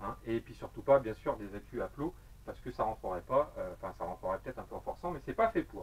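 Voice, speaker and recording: Medium-pitched male voice with vocal fry. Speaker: vape gear reviewer, YouTuber. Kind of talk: product review video. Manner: fast; casual, hesitant with many fillers.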